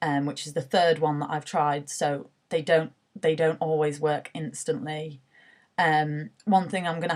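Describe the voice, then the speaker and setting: A woman's very deep, low voice with a British accent, at a moderate pace with fairly even intonation. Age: 20s. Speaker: university student sharing mental health story. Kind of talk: personal testimony. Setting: self-recorded video selfie. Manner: hesitant, many filler words.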